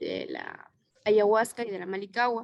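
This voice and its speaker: A moderate pace with fairly even intonation. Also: woman. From Ecuadorian Amazon, Morona Santiago. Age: 20s. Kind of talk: interview. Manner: hesitant, with fillers.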